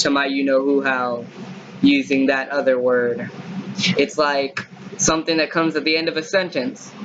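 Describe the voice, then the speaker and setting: Pitch rises and falls in an ordinary way while noticeable background noise runs underneath. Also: man. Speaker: vlogger. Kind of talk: casual monologue vlog. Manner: halting.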